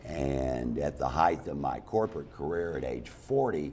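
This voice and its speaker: A man's very deep, low voice with lively intonation at a fairly slow pace, over noticeable background noise. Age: 60s. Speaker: stand-up comedian. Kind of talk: talk show interview.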